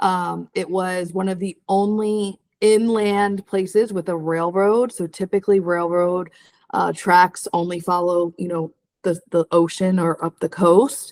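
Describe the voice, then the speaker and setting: A woman with an American accent and a normal speaking voice talks at a fairly slow pace in a medium pitch, her intonation fairly even, with a dry, close sound and no echo. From New Jersey. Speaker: real estate video co-host. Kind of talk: casual chat.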